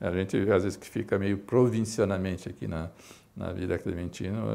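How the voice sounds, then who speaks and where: This man speaks with a very deep, low pitch. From São Paulo, East Zone (Brazil); São Paulo, Brazil. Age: 60s. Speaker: physician and medical association director. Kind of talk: interview testimony. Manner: halting, many fillers. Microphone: lapel.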